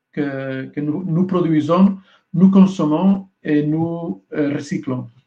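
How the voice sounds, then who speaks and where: Dark and mellow in tone, a man with a Spanish accent talks with fairly even intonation. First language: Spanish (speaking French). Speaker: EU communication official. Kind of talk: panel debate. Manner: halting, searching for words.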